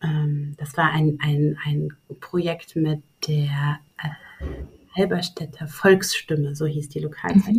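A woman speaks with a very deep, low pitch and a somewhat breathy voice. Her pace is very slow and her intonation fairly even. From Saxony-Anhalt, Germany. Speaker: publishing program director and literary critic. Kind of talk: interview conversation. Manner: hesitant with many fillers; long complex sentences.

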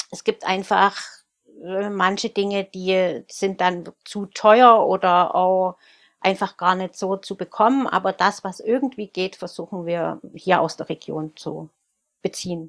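A woman at medium pitch, very slow, fairly even in intonation yet with big swings in loudness, in a dry, close sound with no echo and a very clean, silent background. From Saxony, Germany (Freiberg). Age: 40s. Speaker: baker and bakery owner. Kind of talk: interview.

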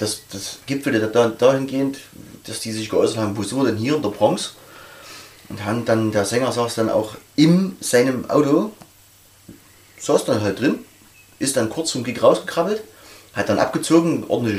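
A man's medium-pitched voice with lively intonation, a moderate pace and long, frequent pauses, amid noticeable background noise. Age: 40s. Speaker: metal club member. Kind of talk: casual interview.

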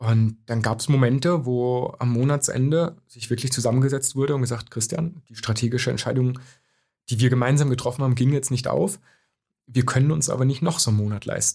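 Fairly quick, somewhat breathy speech from a man at medium pitch, with fairly even intonation. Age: young. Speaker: corporate speaker. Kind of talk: interview. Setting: studio.

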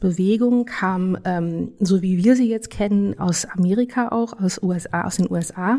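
At a moderate pace, a woman talks in a dark, mellow tone at medium pitch with fairly even intonation. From Germany. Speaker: legal scholar. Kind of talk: interview. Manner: halting.

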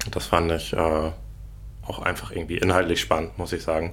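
A man's very deep, low pitch with vocal fry and lively intonation, in audible room echo. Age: 30s. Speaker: burnout patient sharing his experience. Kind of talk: casual interview about personal experience.

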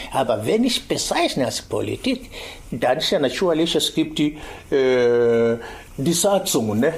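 Over noticeable background noise, a man with an East African accent speaks at a fairly slow pace. His fairly high voice swings very widely in pitch. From Tanzania, Kilimanjaro region. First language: Swahili (speaking German). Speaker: activist and teacher. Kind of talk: interview.

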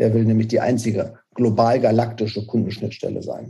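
Speaking at a fairly quick pace, a man has a medium-pitched voice. It sounds somewhat breathy, with a dark, mellow tone. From Germany, Paderborn (Westphalia). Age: 40s. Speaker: startup founder. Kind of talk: interview. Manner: hesitant, many fillers.

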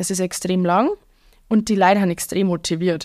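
On a very clean recording with a silent background, a woman with a strong Bavarian accent talks at a moderate pace and medium pitch with fairly even intonation. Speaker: Oktoberfest waitress and bar owner. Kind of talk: casual chat.

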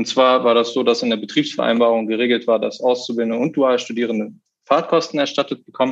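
This man has a medium pitch and a normal speaking voice. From Lower Saxony, Germany. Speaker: union negotiating committee member, dual student. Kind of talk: interview.

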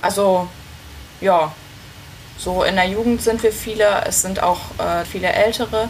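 Over noticeable background noise, a woman speaks at a fairly slow pace with long, frequent pauses, her medium pitch showing ordinary variation. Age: 20s. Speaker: amateur tennis player. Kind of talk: casual interview.

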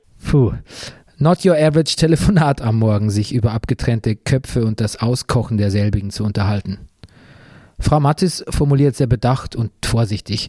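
A man's dark, mellow, somewhat breathy voice at medium pitch, moderate pace and ordinary pitch variation, in a dry, close sound with no echo. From Bavaria. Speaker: podcast host, author and journalist. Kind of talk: scripted narration.

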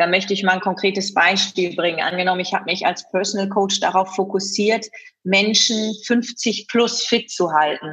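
Using a normal speaking voice, a woman talks at a moderate pace and medium pitch, her intonation fairly even and her loudness very even. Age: 30s. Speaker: event host and fitness trainer. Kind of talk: interview.

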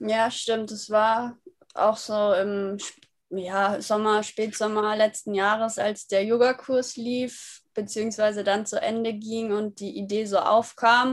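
Very slowly, a woman speaks in a monotone, flat intonation. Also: fairly high pitch for a woman. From Germany, Würzburg (Franconia). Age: 20s. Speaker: app founder, yoga teacher. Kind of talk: podcast interview.

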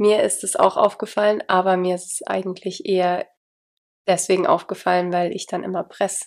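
With long, frequent pauses, a woman speaks in a monotone, flat intonation. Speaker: podcast host. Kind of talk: casual chat. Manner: low energy.

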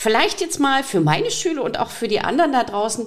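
Vocal fry and very wide pitch swings. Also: woman. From Saxony, eastern Germany (Riesa). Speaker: podcast host, teacher. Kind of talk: interview.

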